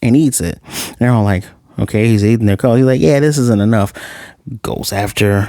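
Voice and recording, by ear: The speaker is reading aloud in a natural voice. Pitch variation is ordinary.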